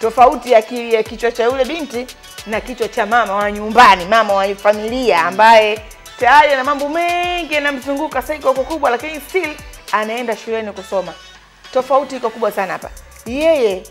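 Faint music plays in the background. A woman speaks at a high pitch. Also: ordinary pitch variation, moderate pace. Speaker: talk show host. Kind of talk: talk show commentary. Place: studio.

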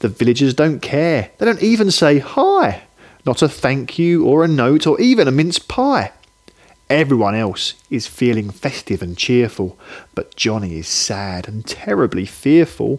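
A man's medium-pitched voice at a fairly slow pace, with big pitch swings

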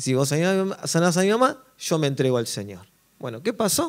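Over a quiet background, a man with an Argentine accent speaks with lively intonation. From Argentina. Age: 40s. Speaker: drummer and worship musician; speaker. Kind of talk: workshop talk to an audience. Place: stage. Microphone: handheld.

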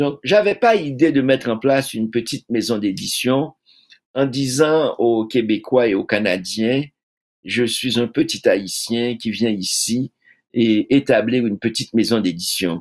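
A man's fairly slow delivery with lively intonation, over a quiet background. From Haiti. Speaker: poet and publisher; poet. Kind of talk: interview. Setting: video call. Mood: earnest, reflective. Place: home room.

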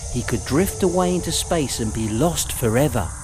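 Music plays in the background as a man speaks at a fairly slow pace. His fairly high pitch moves in very wide swings. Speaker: voiceover artist and writer. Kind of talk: children's audiobook narration.

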